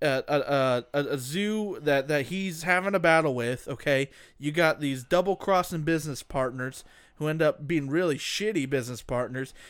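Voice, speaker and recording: Speaking in a normal speaking voice, a man with a fairly high pitch and ordinary pitch variation keeps a moderate pace on a very clean recording with a silent background. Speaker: co-host. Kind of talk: casual banter. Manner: joking, playful.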